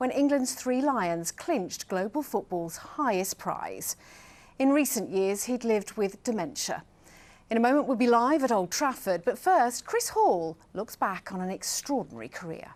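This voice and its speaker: Using a plain, everyday voice, a woman speaks at a moderate pace with a fairly high pitch and lively intonation. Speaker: TV news presenter. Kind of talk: TV news presenter read.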